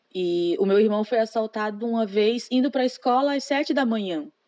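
Fairly quick pace and ordinary pitch variation, with a dry, close sound and no echo. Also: woman. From Brazil, Maranhão (Imperatriz). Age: 20s. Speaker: secretary. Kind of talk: interview. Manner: hesitant, many fillers.

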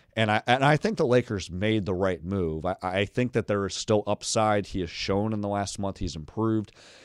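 A man speaks in an ordinary speaking voice, fairly low in pitch with ordinary variation, at a moderate pace with hardly any pauses. The sound is dry and close with no echo, and the recording is very clean with a silent background. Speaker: NBA writer. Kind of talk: interview. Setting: studio.

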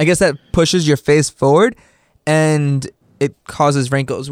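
A man with an ordinary speaking voice talks at a moderate pace and a fairly high pitch. The recording is very clean and dry, close-sounding with no echo and a silent background. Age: 20s. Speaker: podcast co-host. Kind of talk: casual chat.

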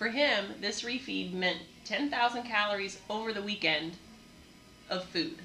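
Amid noticeable background noise, a woman speaks at a medium pitch and fairly slow pace with ordinary pitch variation and long, frequent pauses. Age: older. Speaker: gym owner and fitness coach. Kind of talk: casual chat podcast.

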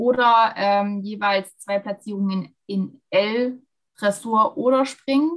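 Her pitch sits at a medium level for a woman, with ordinary pitch variation. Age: 20s. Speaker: dual student and dressage rider. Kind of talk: interview. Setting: video call. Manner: frequent hesitations.

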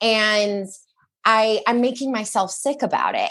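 In a normal speaking voice, a woman talks at a fairly slow pace with ordinary pitch variation against a quiet background. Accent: American. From Michigan. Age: 30s. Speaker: eating disorder recovery coach. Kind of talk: casual chat.

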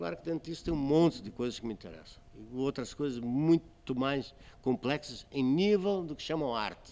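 At a moderate pace, a man with a plain, everyday voice speaks at a fairly high pitch, his loudness swinging widely. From Azores, Portugal. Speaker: photographer. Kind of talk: casual interview chat.

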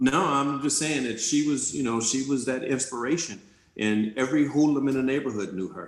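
With an American accent, a man of medium pitch talks at a fairly quick pace. His pitch varies in an ordinary way, and the room echo is audible. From South Central Los Angeles. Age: 50s. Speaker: life coach and entrepreneur. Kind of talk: interview conversation.

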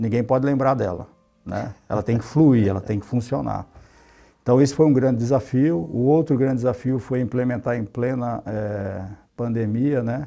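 A man's medium-pitched voice with a dark, mellow tone, at a moderate pace with ordinary pitch variation, in a very clean recording with a silent background. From São Paulo and Pernambuco, Brazil. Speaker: IT executive. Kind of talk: interview.

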